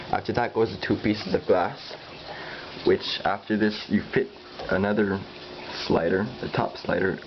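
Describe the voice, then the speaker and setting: Moderate pace amid noticeable background noise. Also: man. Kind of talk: DIY tutorial narration. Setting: cheap digital camera recording. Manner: hesitant, stuttering.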